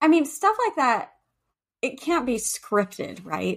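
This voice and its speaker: A woman with an American accent, very wide pitch swings and vocal fry. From California. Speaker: podcast co-host. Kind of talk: casual chat; reading guest bio aloud.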